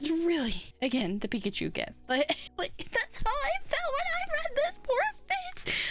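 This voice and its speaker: Over noticeable background noise, a woman with an extremely high pitch talks fairly slowly, her pitch swinging very widely while her loudness stays very even. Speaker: booktuber vtuber. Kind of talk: casual book review chat. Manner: quiet, hushed; animated, stammering repetitions.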